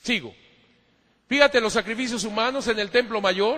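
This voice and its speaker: A man speaks at an extremely high pitch in a raised, projected voice. His tone is animated and his pace fairly quick. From Mexico. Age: 50s. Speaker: priest and church historian. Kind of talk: lecture.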